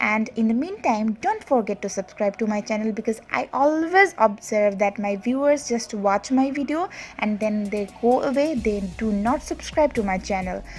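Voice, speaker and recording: With a Bangladeshi accent and noticeable background noise, the speaker keeps a moderate pace with hardly any pauses and ordinary pitch variation. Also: woman, fairly high pitch for a woman. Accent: non-native Bangladeshi English. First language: Bengali. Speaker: makeup artist and beauty vlogger. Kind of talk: tutorial. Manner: hesitant with many fillers.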